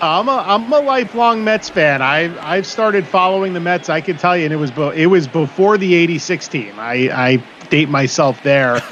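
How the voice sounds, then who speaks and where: In an American accent, a man with a high pitch talks at a moderate pace with hardly any pauses, his voice making very wide pitch swings over noticeable background noise. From New York City, the Bronx. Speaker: baseball broadcaster. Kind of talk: live commentary. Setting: online live stream.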